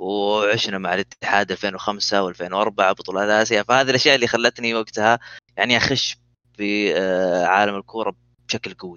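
Here a man speaks at a moderate pace in a normal speaking voice. His pitch is fairly low and his intonation fairly even. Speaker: esports gamer. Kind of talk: casual chat.

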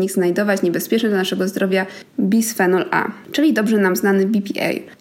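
Spoken at a fairly quick pace with ordinary pitch variation, the clip carries noticeable background noise. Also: woman. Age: 20s. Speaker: podcast host. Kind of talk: educational monologue.

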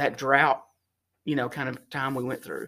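A man's fairly high voice with a Texan accent. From North Texas (Sherman). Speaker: fuel distribution executive. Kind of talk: interview.

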